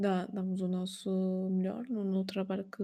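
In a somewhat breathy voice with a dark, mellow tone, the speaker goes at a fairly slow pace with fairly even intonation on a very clean recording with a silent background. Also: woman. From Portugal. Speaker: painter and art streamer, stained-glass artisan. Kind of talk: interview. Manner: halting.

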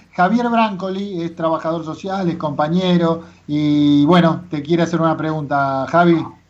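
Audible room echo surrounds a high-pitched man who speaks at a moderate pace with hardly any pauses and fairly even intonation. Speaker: radio host. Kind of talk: radio interview.

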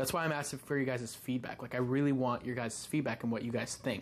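His pitch is medium. This man's pace is very fast. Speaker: podcaster and YouTuber. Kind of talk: casual solo monologue. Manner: fast talker, gets louder when excited.

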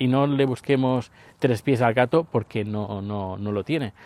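A man's medium-pitched voice with fairly even intonation, in a dry, close sound with no echo on a very clean recording with a silent background. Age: 50s. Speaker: podcaster. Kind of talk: casual monologue vlog. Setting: outdoors, walking the dog. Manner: halting, with many fillers.

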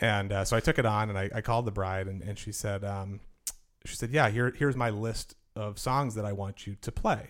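A man with an American accent has a plain, everyday voice, fairly low in pitch, and speaks at a fairly quick pace with fairly even intonation. The recording is very clean, with a silent background. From Milton, Massachusetts (Boston area). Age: 30s. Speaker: wedding DJ, business owner. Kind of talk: interview.

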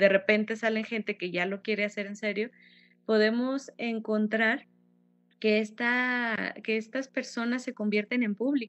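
A woman speaks at a moderate pace and fairly high pitch in a monotone, flat intonation. The background is quiet. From Mexico, Fresnillo, Zacatecas. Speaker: violinist and music teacher. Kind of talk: interview.

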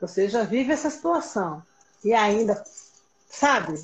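A woman's voice with very wide pitch swings. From Pernambuco, Brazil, with Rio ties. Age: 30s. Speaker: educator. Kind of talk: casual chat.

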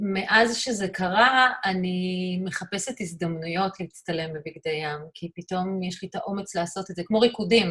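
An unremarkable speaking voice from a woman at medium pitch, at a fairly slow pace with ordinary pitch variation. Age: 50s. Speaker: artist and photographer. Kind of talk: interview.

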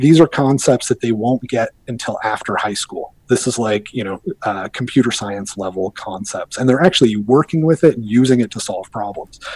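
An unremarkable speaking voice from a man, medium in pitch with ordinary pitch variation, at a moderate pace with hardly any pauses, in a dry, close sound with no echo. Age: 40s. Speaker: bitcoin commentator. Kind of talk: casual chat.

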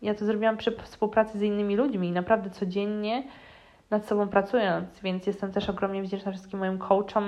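Speaking at a very fast pace, a woman keeps a flat monotone in a medium pitch. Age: 20s. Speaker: spiritual mentor and coach, podcast host. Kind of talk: solo podcast monologue.

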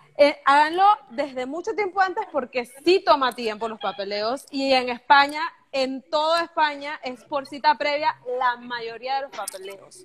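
A woman's high pitch and lively intonation at a fairly slow pace, with noticeable background noise. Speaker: podcast host. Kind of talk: casual interview. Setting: live stream video call.

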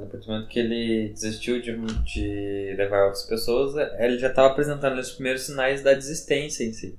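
The speaker is a man whose pitch varies in an ordinary way. Audible room echo surrounds his voice. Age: 20s. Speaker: psychologist. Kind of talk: casual chat.

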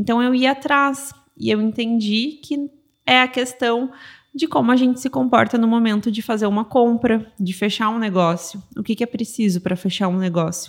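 In a normal speaking voice, a woman with a fairly high pitch talks at a moderate pace, with ordinary pitch variation. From southern Brazil, Rio Grande do Sul (São Leopoldo). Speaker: dentist and business mentor. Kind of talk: casual interview chat.

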